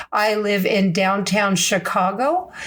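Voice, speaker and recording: A woman speaks at a medium pitch and a fairly slow pace, with ordinary pitch variation. Room echo is audible, along with noticeable background noise. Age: 60s. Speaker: podcast host. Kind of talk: casual podcast monologue. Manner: animated.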